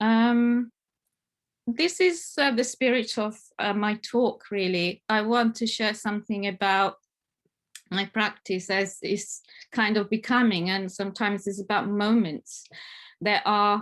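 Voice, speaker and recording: With an Italian accent, a woman speaks slowly-ish at a fairly high pitch with ordinary pitch variation. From Italy, Italian Alps. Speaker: family therapist. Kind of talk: conference presentation. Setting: online conference. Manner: hesitant, many fillers.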